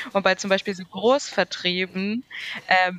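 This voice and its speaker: A woman with an unremarkable speaking voice talks fairly slowly at a medium pitch. Her intonation is fairly even, and the sound is dry and close with no echo. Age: 20s. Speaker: podcast guest. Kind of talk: casual chat.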